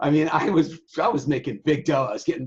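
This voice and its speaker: A loud, animated man's voice, fairly high in pitch. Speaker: sailing website owner. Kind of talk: casual interview.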